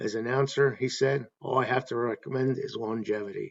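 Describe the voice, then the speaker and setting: At a moderate pace, this is an unremarkable speaking voice. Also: man. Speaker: baseball fan YouTube host. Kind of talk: casual talk to camera, informal video essay.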